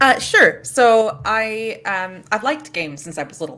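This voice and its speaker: This woman has a bright, sharp tone. She speaks with an American accent. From United States. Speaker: game programmer and lecturer. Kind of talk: panel discussion. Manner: hesitant, many fillers.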